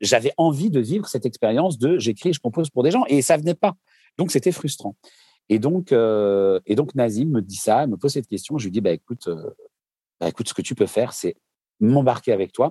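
The voice has a dark, mellow tone and very wide pitch swings. It moves at a fairly quick pace. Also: man. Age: 40s. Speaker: singer-songwriter. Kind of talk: casual interview.

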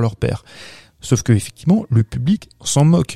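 A man with a regional French accent speaks at a moderate pace and medium pitch, his tone dark and mellow. The sound is dry and close with no echo, on a very clean recording with a silent background. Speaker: podcast co-host, film critic. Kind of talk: casual chat.

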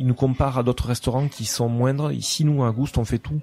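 With fairly even intonation, a medium-pitched man talks at a moderate speed as noticeable background noise carries on. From southwest France, Lourdes and Toulouse. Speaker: restaurant owner. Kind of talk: interview.

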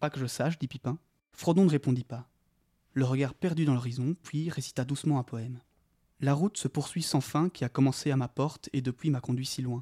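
Fairly quick but pausing long and often, a man speaks in a fairly high, somewhat breathy voice with a dark, mellow tone, the sound dry and close with no echo. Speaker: podcast co-host. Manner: hesitant, halting, thinking aloud.

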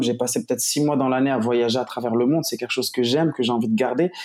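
Very fast delivery from a man at medium pitch, with ordinary variation in his pitch. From Morocco. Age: 20s. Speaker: digital marketing entrepreneur. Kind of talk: interview. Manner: casual.

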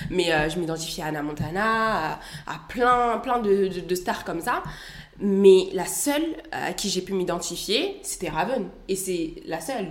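A woman with a medium pitch and lively intonation speaks over noticeable background noise, with audible room echo. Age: 20s. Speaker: student and content creator. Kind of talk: interview conversation.

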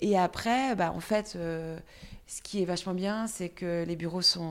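With fairly even intonation, a woman speaks at a fairly low pitch. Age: 40s. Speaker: entrepreneur. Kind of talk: interview. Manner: halting.

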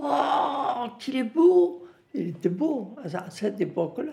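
A woman speaks with very wide pitch swings. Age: 90s. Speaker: retirement home resident sharing memories. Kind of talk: interview testimony.

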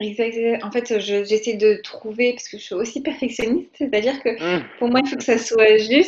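Barely pausing, a woman talks at a moderate pace in a fairly high pitch, with ordinary pitch variation and big swings in loudness. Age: 20s. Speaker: podcast listener. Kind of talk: interview. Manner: hesitant.

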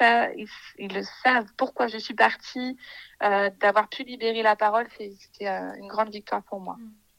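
With a fairly high pitch, a woman delivers her words at a moderate pace. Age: 20s. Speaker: early childhood educator. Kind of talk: interview. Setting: remote recording. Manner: hesitant with many fillers.

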